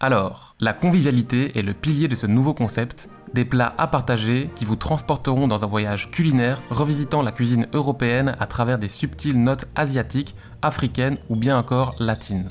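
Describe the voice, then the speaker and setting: Faint music plays in the background. A man talks at a moderate pace with ordinary pitch variation. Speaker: graphic designer youtuber. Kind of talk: casual vlog chat. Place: home room. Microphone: studio mic.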